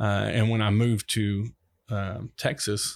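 A man speaks in a flat monotone with a Deep South accent. The recording is very clean, with a silent background. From US South, Mississippi Gulf Coast. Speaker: city manager. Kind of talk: podcast interview. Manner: halting.

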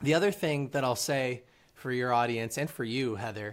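A man speaks in an unremarkable speaking voice at a medium pitch. The recording is very clean, with a silent background. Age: 20s. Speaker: author and reading platform founder. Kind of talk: interview.

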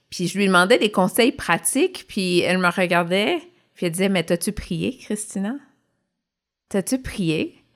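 In a Quebec accent, a woman talks at a medium pitch with ordinary pitch variation. Her fairly slow pace includes long, frequent pauses, on a very clean recording with a silent background. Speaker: podcast co-host, former nurse. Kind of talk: casual chat.

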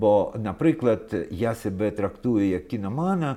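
In a very clean recording with a silent background, a man speaks fairly slowly at a fairly low pitch, his dark, mellow tone carrying lively intonation. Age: 70s. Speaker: film festival director. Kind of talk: interview.

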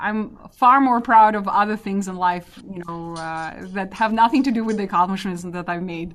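A woman speaks in a Russian accent. She barely pauses at all. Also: medium pitch for a woman, ordinary pitch variation, moderate pace, big swings in loudness. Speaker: database architect. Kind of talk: interview.

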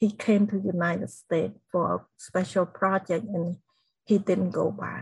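Medium-pitched female voice with vocal fry, a Cambodian accent and fairly even intonation. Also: moderate pace. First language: Khmer. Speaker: genocide survivor and inspirational speaker. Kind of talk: interview testimony.

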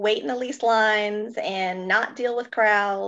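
A woman with an American accent speaks at a very slow pace. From US South, Kentucky and upstate South Carolina. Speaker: travel agent, guest. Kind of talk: casual chat.

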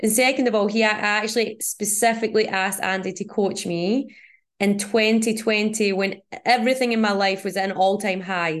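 A woman speaks at a moderate pace in a medium pitch, her intonation fairly even against a quiet background. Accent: Scottish. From Scotland.

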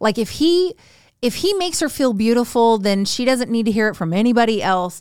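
Her voice is an ordinary speaking voice, fairly high-pitched with lively intonation, captured in a very clean recording with a silent background. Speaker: co-host, wife of the host. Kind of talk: casual chat. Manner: direct, blunt.

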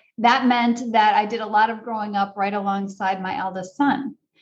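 A woman's somewhat breathy voice moves with ordinary pitch variation. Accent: American. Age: 50s. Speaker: parenting coach and author. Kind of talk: interview.

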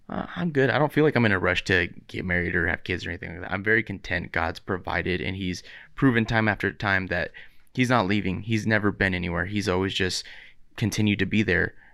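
At a very fast pace, a man speaks in a fairly low pitch with a bright, sharp tone and ordinary pitch variation. The recording is very clean against a silent background. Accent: American. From Southern California (Riverside). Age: 30s. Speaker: podcast co-host. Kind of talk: casual chat.

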